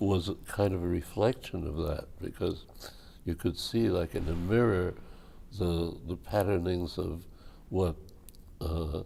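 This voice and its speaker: Long, frequent pauses break up a man's fairly slow speech. His voice is very deep and low, and somewhat breathy. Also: ordinary pitch variation. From born abroad. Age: 80s+. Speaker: multimedia artist. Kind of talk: oral history interview answer.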